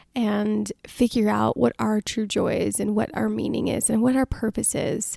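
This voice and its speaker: The sound is dry and close with no echo, and the pace is moderate. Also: woman. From United States, Indian immigrant family. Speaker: podcast host. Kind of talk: personal storytelling monologue.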